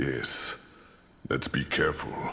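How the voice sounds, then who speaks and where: A man speaks in a put-on character voice. Clear background noise runs behind him. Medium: video game. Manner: direct, commanding.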